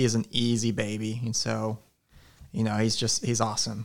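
This man has a plain, everyday voice, medium pitch and an American accent, speaking at a moderate pace. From Alaska and Oklahoma. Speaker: youth pastor. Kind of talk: casual chat.

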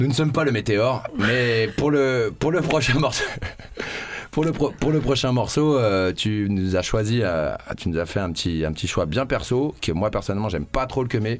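Through noticeable background noise, a man speaks at a moderate pace and medium pitch, with lively intonation and very even loudness. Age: 30s. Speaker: radio host. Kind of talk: casual chat.

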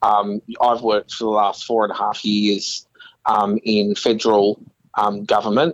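With an Australian accent and a fairly low pitch, a man speaks in a dry, close sound with no echo. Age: 20s. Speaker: council candidate. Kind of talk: interview. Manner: halting, many fillers.

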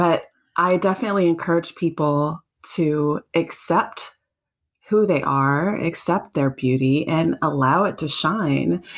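A woman with an American accent speaks in an unremarkable speaking voice, fairly low in pitch, with ordinary pitch variation. She talks at a fairly slow pace on a very clean recording with a silent background. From US South, South Carolina. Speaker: content creator and self-love advocate. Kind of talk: interview conversation.

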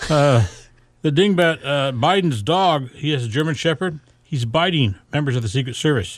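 In a normal speaking voice, a man talks at a moderate pace with lively intonation and a fairly high pitch. The recording is very clean, with a silent background. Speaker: radio host. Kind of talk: live radio chat. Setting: radio studio. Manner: casual, friendly.

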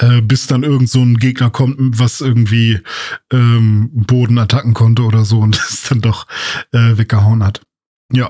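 A man with a dark, mellow tone and medium pitch speaks at a moderate pace, somewhat breathy. His intonation is monotone and flat, and his loudness very even. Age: 30s. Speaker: podcast co-host. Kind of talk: casual chat. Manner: hesitant with many fillers.

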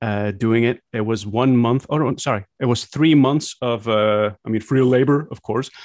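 With a Flemish accent, a man speaks at medium pitch and a moderate pace. His intonation stays fairly even, with hardly any pauses. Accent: Flemish Dutch accent in English. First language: Dutch. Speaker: content creator. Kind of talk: casual interview chat.

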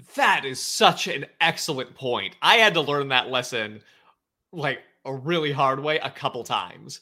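This man has an ordinary speaking voice with a fairly high pitch. His pitch variation is ordinary and his pace moderate. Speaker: podcast host. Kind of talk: casual chat.

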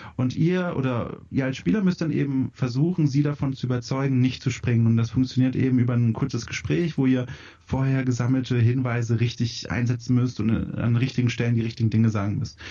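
This man's voice is somewhat breathy, with medium pitch and ordinary pitch variation. He keeps a very even loudness and hardly any pauses. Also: fairly quick pace. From Franconia, southern Germany. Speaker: video game editor. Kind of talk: casual chat. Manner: fast.

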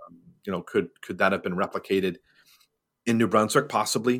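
The speaker has a Canadian accent. The tone is bright and sharp. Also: man. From Montreal, Canada. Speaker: airport industry executive. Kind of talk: interview. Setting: remote call from home office.

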